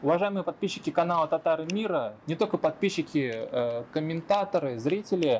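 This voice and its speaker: Talking at a fairly quick pace with hardly any pauses, a man uses a high pitch and lively intonation. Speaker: interviewer. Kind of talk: channel intro to camera.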